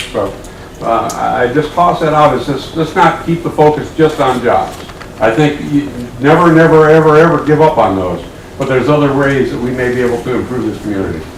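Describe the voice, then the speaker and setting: Amid noticeable background noise and audible room echo, a man with a fairly high pitch and ordinary pitch variation speaks at a fairly quick pace. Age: 60s. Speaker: resident speaking at public hearing. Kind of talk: public comment at council meeting. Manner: halting, with repetitions.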